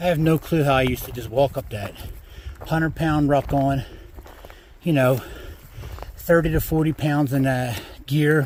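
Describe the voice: A man's voice sits at a medium pitch and keeps fairly even intonation. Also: slightly mellow tone.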